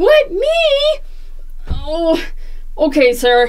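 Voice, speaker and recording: A woman does a squeaky, put-on character voice. Noticeable background noise sits behind her. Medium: solo performance. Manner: polite, deferential.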